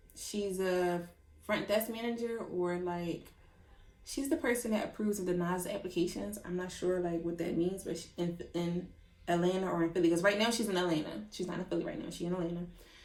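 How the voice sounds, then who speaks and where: Room echo is audible in this clip. A woman talks at a fairly quick pace. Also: medium pitch for a woman, ordinary pitch variation. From Philadelphia. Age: 20s. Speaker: vlogger, cosmetology educator. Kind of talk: casual vlog storytelling. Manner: animated.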